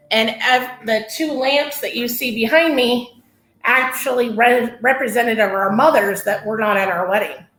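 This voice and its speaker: A woman speaks with a high pitch. Room echo can be heard. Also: ordinary pitch variation, moderate pace. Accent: American. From Northern California. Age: 40s. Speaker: massage therapist. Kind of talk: testimony interview.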